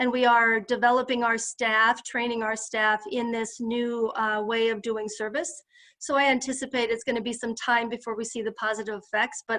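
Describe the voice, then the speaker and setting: Speaking at a moderate pace, a woman uses a fairly high pitch and a bright, sharp tone. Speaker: psychologist and health system leader. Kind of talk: presentation to a group.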